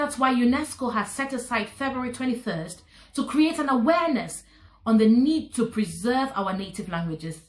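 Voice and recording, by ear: A woman talks at a moderate pace with few pauses, her fairly high voice carrying lively intonation.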